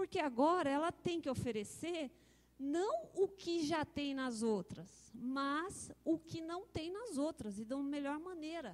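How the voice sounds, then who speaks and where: A woman with a high pitch and lively intonation. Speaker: software researcher presenting. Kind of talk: conference talk.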